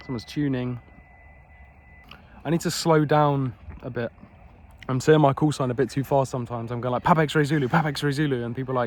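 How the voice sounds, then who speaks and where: A man with an English accent speaks at medium pitch and a very fast pace. His intonation stays fairly even, broken by long, frequent pauses. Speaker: amateur radio operator. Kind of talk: casual vlog narration. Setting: outdoors.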